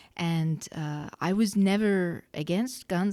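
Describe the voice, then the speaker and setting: This is a woman speaking. Her tone is dark and mellow. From Australia. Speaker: gun rights advocate. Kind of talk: podcast interview.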